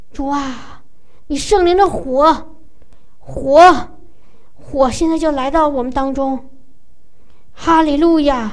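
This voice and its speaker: At a very slow pace, a woman talks in a high pitch with ordinary pitch variation, leaving long, frequent pauses amid noticeable background noise. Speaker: preacher leading prayer. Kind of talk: fervent charismatic prayer, worship. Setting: church gathering. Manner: emotional, pleading, rising in volume.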